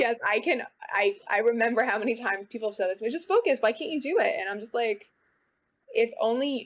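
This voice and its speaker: This woman has an unremarkable speaking voice with an American accent, a fairly high pitch, lively intonation and a fairly quick pace. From New York City, Queens. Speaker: guest sharing mental health experience. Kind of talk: personal testimony in interview.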